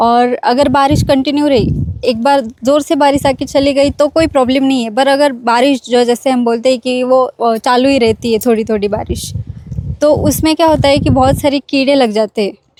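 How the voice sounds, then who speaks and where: With noticeable background noise but a dry, close sound free of echo, a woman speaks at a moderate pace in a high pitch with fairly even intonation. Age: 20s. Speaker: farmer and interior designer. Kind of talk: interview answers. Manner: hesitant, many fillers.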